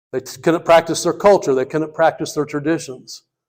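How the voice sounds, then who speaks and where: A man speaks at a fairly quick pace and a fairly high pitch. The recording is very clean, with a silent background. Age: 60s. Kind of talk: speech. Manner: animated.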